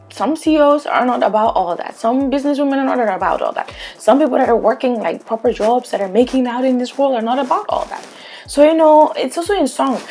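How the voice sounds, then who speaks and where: Faint music plays behind a woman speaking at a high pitch. She talks at a fairly quick pace. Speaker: reality show reviewer. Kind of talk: commentary. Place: home room. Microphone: lapel.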